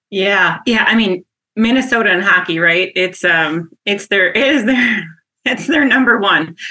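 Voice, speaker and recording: With an Upper Midwest accent, a woman speaks at a medium pitch with a bright, sharp tone, lively intonation and very even loudness. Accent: Upper Midwest American. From Wisconsin (Wausau, central). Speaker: HR company president. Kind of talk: interview conversation.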